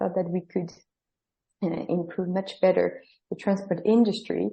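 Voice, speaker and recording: Fairly even intonation carries speech in a French accent. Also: woman. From France. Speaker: startup co-founder. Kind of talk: interview.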